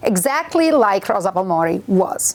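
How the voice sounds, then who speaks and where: This woman has a fairly high-pitched voice. She speaks with an Italian accent. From Italy. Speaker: university lecturer. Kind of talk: interview. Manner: hesitant, with fillers.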